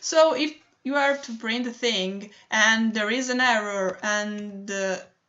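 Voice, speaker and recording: Her pitch variation stays ordinary. The woman's voice sits fairly high. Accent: Italian. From Italy. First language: Italian. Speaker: digital artist. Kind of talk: tutorial. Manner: halting, many fillers.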